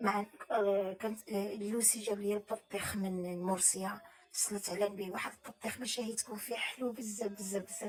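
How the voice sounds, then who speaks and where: A woman speaks at medium pitch with a monotone, flat intonation. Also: moderate pace. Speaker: cooking vlogger. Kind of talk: casual vlog talk. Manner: halting.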